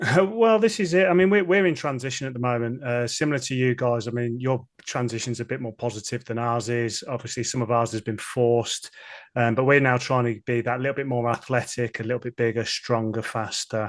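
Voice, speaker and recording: Speaking at a fairly quick pace in a Birmingham accent, a man uses a medium pitch with ordinary pitch variation. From Birmingham area, England. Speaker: football fan podcaster. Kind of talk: casual interview.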